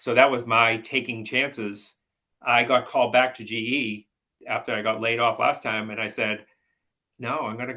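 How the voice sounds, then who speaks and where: With a Boston accent, a man talks at a moderate pace in a bright, sharp tone and a monotone, flat intonation. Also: medium pitch for a man. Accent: Boston-area New England. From Massachusetts, Peabody. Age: 60s. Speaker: house painter. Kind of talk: casual chat.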